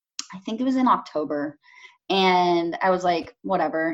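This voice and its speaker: Speaking with a Californian accent, a woman keeps a medium pitch and a moderate pace. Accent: Californian American. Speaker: painter. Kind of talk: casual interview. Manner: hesitant, many fillers.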